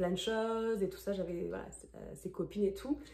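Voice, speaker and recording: A woman is speaking. Her pace is fairly quick. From France. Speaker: former au pair, vlogger. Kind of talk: casual Q&A vlog. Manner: hesitant, many fillers.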